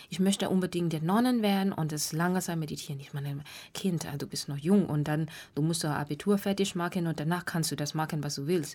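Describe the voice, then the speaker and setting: A woman with a Burmese accent speaks very fast in a fairly low voice with ordinary pitch variation, on a very clean recording with a silent background. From Myanmar. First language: Burmese (speaking German). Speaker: meditation teacher. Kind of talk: radio interview. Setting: radio studio. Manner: halting.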